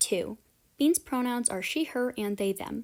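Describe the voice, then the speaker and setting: A woman speaks at a high pitch and a moderate pace with lively intonation. The recording is very clean, with a silent background. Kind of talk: casual podcast talk.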